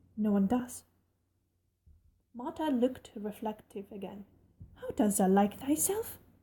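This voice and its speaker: A woman speaks at a moderate pace in a fairly high pitch, her somewhat breathy voice carrying a dark, mellow tone and ordinary pitch variation. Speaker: amateur narrator. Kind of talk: audiobook reading.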